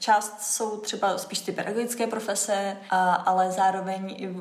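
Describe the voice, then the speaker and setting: A woman talks at a moderate pace in a medium pitch, her intonation flat and monotone. Noticeable background noise and audible room echo accompany her voice. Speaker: former ballet dancer turned theatre producer. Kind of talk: interview.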